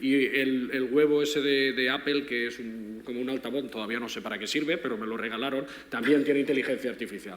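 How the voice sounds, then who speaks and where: The speech comes at a very fast pace with hardly any pauses and ordinary pitch variation, over noticeable background noise and audible room echo. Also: man. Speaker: philosophy professor. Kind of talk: panel discussion.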